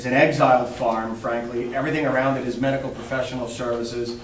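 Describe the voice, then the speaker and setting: At a fairly quick pace, a man speaks at a medium pitch with fairly even intonation, amid noticeable background noise and audible room echo. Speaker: local election candidate. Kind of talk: candidate debate. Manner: fast.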